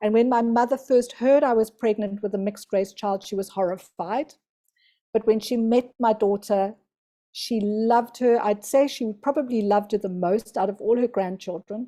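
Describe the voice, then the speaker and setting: Fairly high in pitch yet dark and mellow in tone, a woman speaks at a moderate pace with fairly even intonation on a very clean recording with a silent background. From South Africa. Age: 60s. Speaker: spiritual teacher. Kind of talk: interview.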